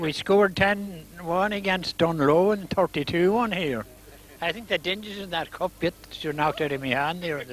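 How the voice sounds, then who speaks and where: In a Donegal accent, a man speaks at high pitch and a moderate pace with ordinary pitch variation. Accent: Donegal Irish. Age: 80s+. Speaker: former footballer. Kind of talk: post-match interview. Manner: halting.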